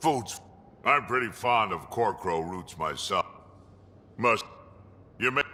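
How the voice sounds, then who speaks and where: In a put-on character voice, a man talks at medium pitch and a fairly slow pace, leaving long, frequent pauses. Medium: video game. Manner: blunt, gruff, plain-spoken.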